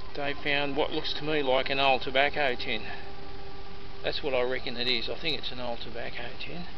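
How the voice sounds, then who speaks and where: Noticeable background noise surrounds a man who talks at a fairly quick pace in monotone, flat intonation, the sound dry with no echo. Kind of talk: casual vlog commentary. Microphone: phone near.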